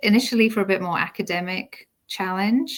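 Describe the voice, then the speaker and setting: With a British accent, a woman speaks in fairly even intonation. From UK. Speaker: homeschooling mother. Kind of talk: interview.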